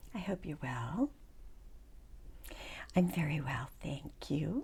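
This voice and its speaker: Calm and somewhat breathy, a woman with a dark, mellow tone and a very deep, low pitch speaks at a very slow pace with lively intonation. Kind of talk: casual talk to camera. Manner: soft-spoken, calm.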